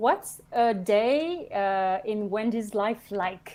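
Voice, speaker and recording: A woman with a French accent speaks at a fairly high pitch with ordinary pitch variation against a quiet background. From France and Belgium. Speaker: podcast co-host. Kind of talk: casual interview chat. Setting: live video stream.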